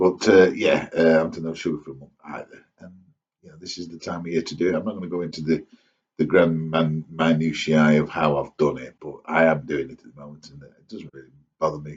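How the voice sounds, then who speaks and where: A man with a very deep, low voice talks at a fairly quick pace in an East Midlands accent. His intonation is fairly even, but his loudness swings widely. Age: 60s. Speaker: vlogger. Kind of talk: casual monologue to camera. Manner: rambling, hesitant with fillers.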